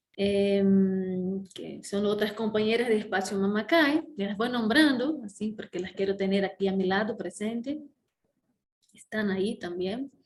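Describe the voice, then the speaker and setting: With ordinary pitch variation, this somewhat breathy voice moves at a fairly slow pace. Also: woman, medium pitch for a woman. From Brazil. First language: Portuguese (speaking Spanish). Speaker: conference speaker, organizer. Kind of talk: opening conference talk. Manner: halting, many fillers.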